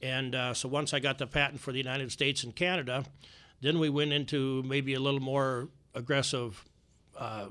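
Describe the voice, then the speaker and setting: In an Upper Midwest accent, a man with a bright, sharp tone speaks at a moderate pace in a medium pitch with fairly even intonation, on a very clean recording with a silent background. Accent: Upper Midwest American. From US Midwest. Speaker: inventor. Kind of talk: interview. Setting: studio.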